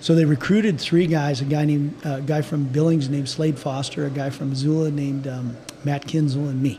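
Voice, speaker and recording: Over noticeable background noise, a man with an American accent talks at a fairly quick pace and fairly high pitch, with fairly even intonation and hardly any pauses. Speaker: orthopedic surgeon. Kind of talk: interview conversation.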